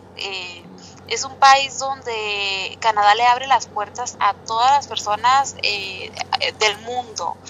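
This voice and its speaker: A woman speaks at a very slow pace in a fairly high pitch, with fairly even intonation. Her loudness swings widely, and music plays in the background. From Mexicali, Baja California, Mexico. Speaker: Mexican immigrant community volunteer. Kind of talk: interview.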